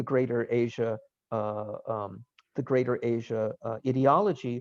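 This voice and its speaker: A man talks at a moderate pace with a New York accent. The background is quiet. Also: dry, close sound with no echo. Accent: American, New York. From US, New York. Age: 60s. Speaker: professor. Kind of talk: lecture. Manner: halting.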